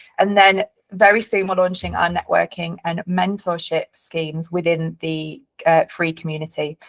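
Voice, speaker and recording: A woman with a Yorkshire accent speaks at a moderate pace in a fairly low voice, her intonation fairly even and the sound dry and close with no echo. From northern England, Leeds. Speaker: company director and webinar host. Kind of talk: webinar presentation. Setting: online webinar.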